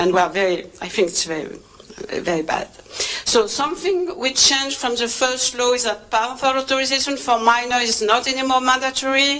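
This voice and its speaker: With a French accent, a woman speaks at a fairly quick pace with a high pitch and lively intonation over noticeable background noise. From France. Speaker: reproductive health trainer. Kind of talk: conference presentation. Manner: hesitant, many fillers.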